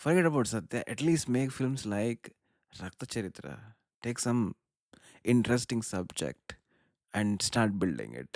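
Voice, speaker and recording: A man speaks at a medium pitch with a Karnataka accent and lively intonation. His long, frequent pauses come through in a dry, close sound with no echo. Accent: Indian English (Kannada). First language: Kannada. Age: 30s. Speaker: film commentator / vlogger. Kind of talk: casual monologue. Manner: animated; halting.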